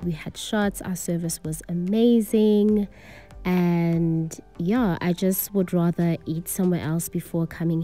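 A woman speaks at a fairly low pitch and a fairly slow pace with fairly even intonation. Faint music plays in the background. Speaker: vlogger reviewing a restaurant. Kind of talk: casual review vlog chat. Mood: relaxed, mildly critical. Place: bar. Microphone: phone near.

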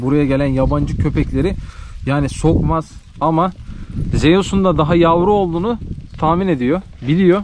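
A man speaks with a fairly high pitch and ordinary pitch variation. The sound is dry with no echo, though there is noticeable background noise. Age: 20s. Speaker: village life and livestock vlogger; livestock vlogger. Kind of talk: casual vlog talk to camera. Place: farm. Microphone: phone near.

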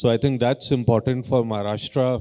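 The recording has a quiet background. A man speaks at a medium pitch. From India. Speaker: renewable energy company executive; panelist. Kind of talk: panel discussion. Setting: stage with audience. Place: hall. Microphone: handheld.

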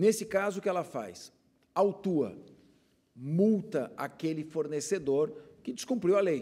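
Over a quiet background, a man with a high pitch and a dark, mellow tone speaks fairly slowly, using lively intonation and long, frequent pauses. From São Paulo city, Brazil; Brazil. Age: 50s. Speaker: public prosecutor and consumer agency director; guest. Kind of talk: TV interview. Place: studio. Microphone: lapel.

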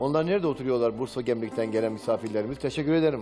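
A man's voice with ordinary pitch variation over clear music in the background. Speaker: TV program host. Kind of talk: religious TV program address. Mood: warm, welcoming. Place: studio. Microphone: headset.

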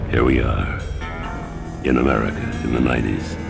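The speaking pace is moderate. Loud music sits in the background. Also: man. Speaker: voice actor. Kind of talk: sports promo read. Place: studio.

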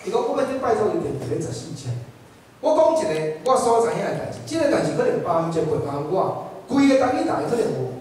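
Very fast speech in a Taiwanese accent, with noticeable background noise. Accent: Taiwanese Hokkien. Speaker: audience member, TV worker. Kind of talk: audience comment.

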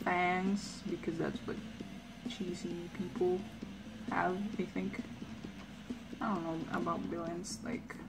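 With music in the background, a woman speaks very slowly, pausing long and often. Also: ordinary pitch variation. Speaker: artist streamer. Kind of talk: casual chat while drawing. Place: home room. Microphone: headset.

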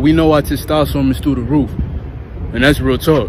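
A man is heard in a dry sound with no echo amid noticeable background noise. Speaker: lifestyle vlogger. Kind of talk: casual vlog chat. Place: street. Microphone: earbuds.

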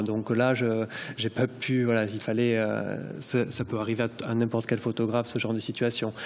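Here a man is talking. He keeps to a moderate pace. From Corbières, southern France. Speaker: photojournalist. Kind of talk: round table presentation. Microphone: podium.

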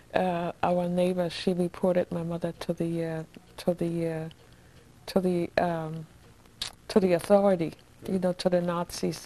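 A woman's fairly low, dark, mellow voice in a German accent, monotone and flat in intonation. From Germany, Hamburg; Germany. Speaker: Nazi-era survivor; interviewee. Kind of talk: oral history interview. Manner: halting. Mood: reflective, sometimes sorrowful. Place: home room. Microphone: lapel.

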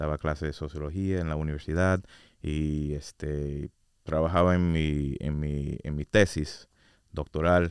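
A man speaks at a fairly slow pace in a very deep, low voice with monotone, flat intonation. The background is quiet. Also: dry sound with no echo. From US, Orlando, Florida; Florida. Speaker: state commission researcher; guest. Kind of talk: casual interview. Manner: hesitant, many fillers. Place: studio. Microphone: studio mic.

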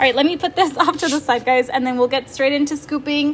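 There is light background noise behind a woman. Her pitch is high, and her intonation is fairly even. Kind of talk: casual livestream chat. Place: home room. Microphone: phone near.

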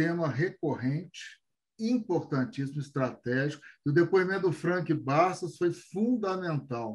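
Against a quiet background, a man speaks at a fairly slow pace with a fairly high pitch. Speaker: show host. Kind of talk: interview and studio presentation. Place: home room. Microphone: video call.

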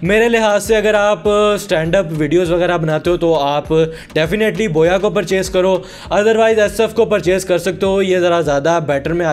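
A high-pitched man talks at a moderate pace while noticeable background noise runs underneath. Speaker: tech youtuber. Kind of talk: product review.

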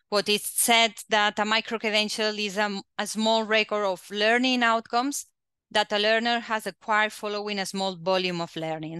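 At a moderate pace, a woman talks with a bright, sharp tone and fairly even intonation, the sound dry with no echo against a quiet background. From Catalonia, Spain. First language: Spanish or Catalan. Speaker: quality assurance agency head; webinar presenter. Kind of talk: presentation. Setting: video call. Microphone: headset.

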